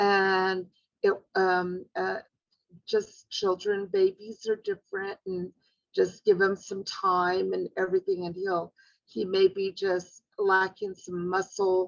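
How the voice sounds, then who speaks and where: Speaking very slowly, a woman keeps a medium pitch and a monotone, flat intonation. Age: 60s. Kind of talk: personal storytelling interview. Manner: hesitant, many fillers.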